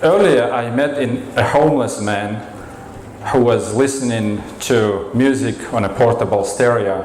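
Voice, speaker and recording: With a Russian accent, a man speaks at a fairly slow pace at medium pitch with ordinary pitch variation, amid audible room echo and noticeable background noise. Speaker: storyteller. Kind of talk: storytelling performance.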